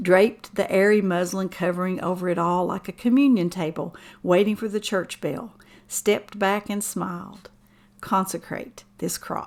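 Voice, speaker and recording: On a very clean recording with a silent background, a woman with an Appalachian accent speaks with ordinary pitch variation. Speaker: writer and musician. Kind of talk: poetry reading.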